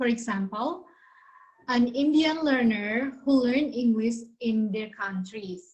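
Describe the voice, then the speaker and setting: Fairly high-pitched woman with a Balinese accent, dark, mellow tone and fairly slow delivery. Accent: Indonesian (Balinese) accented English. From Bali, Indonesia. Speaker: university student presenter. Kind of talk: class presentation. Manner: halting.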